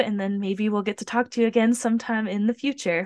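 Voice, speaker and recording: A woman with an ordinary speaking voice and an American accent talks at a fairly high pitch with fairly even intonation, in a dry, close sound with no echo and a quiet background. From US Pacific Northwest (Tacoma, Washington). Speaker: podcast host and fitness trainer. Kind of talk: casual interview.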